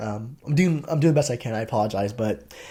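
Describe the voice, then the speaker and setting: A somewhat breathy man speaks at a fairly quick pace in a very clean recording with a silent background. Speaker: tech content creator, identity and access management manager. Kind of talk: casual vlog monologue. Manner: fast.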